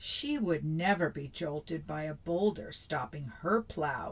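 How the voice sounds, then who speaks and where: Putting on a character voice, a woman growls at a very deep, low pitch, speaking at a fairly slow pace with ordinary pitch variation. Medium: read story. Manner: hesitant.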